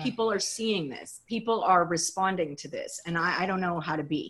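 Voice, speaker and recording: Speaking at a fairly quick pace, a woman with an American accent has an ordinary speaking voice at a medium pitch. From Texas (College Station), partly Los Angeles and Germany. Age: 50s. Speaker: writer and rancher. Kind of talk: interview conversation.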